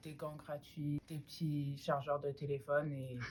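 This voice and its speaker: A somewhat breathy woman's voice with a very deep, low pitch. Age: 20s. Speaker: university student. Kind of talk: student testimony. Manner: hesitant, many fillers.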